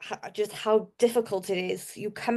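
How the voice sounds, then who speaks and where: In a Welsh accent, a woman speaks at a fairly slow pace and fairly high pitch, her intonation monotone and flat against a quiet background. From South Wales. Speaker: marketer. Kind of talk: podcast interview.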